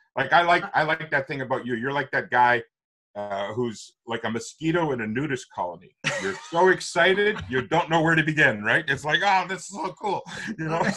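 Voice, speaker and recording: A man with a Canadian accent speaks at a fairly high pitch. His tone is bright, sharp, and animated. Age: 60s. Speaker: author and public speaking coach. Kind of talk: interview.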